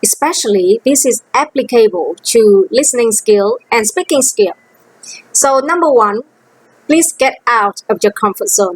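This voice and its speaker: A woman with a Vietnamese accent speaks in a high pitch with lively intonation and very even loudness. Her fairly slow delivery is captured in a dry, close sound with no echo. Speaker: language teacher. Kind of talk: teaching demo lesson.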